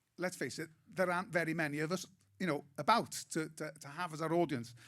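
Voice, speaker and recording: With a north Welsh accent, a man talks at a very fast pace, his fairly high pitch showing ordinary variation. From Wales, Anglesey. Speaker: comedian. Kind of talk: panel discussion.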